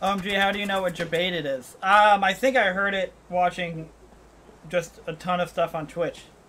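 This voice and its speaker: Speaking at a moderate pace, a man has a high pitch. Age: 20s. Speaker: gaming streamer; game streamer. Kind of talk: casual chat. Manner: animated. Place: home room. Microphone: headset.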